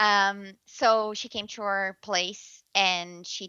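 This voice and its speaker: This woman has a slight Brazilian accent. Her pitch sits in the medium range. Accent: light Brazilian Portuguese-accented English. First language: Portuguese. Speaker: journalist. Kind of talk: interview. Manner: halting, with frequent repetitions and fillers.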